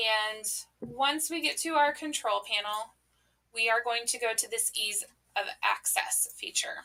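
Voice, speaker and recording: A woman with an American accent talks at a fairly slow pace and a fairly high pitch. Her tone is bright and sharp, with ordinary pitch variation. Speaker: teacher trainer. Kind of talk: tutorial. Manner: casual, with fillers.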